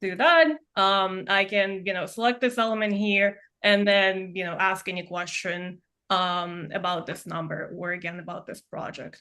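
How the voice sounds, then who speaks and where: Against a quiet background, a woman with a non-native accent talks at a fairly slow pace in a medium pitch, her tone bright and sharp. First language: not English. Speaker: software product demonstrator. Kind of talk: product demo.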